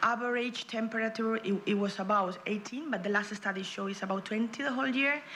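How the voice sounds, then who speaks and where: Speaking fairly quickly with hardly any pauses, a woman in a Spanish accent uses a fairly high pitch and ordinary pitch variation, with audible room echo and noticeable background noise. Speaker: regional politician. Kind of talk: conference presentation. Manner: fast; halting.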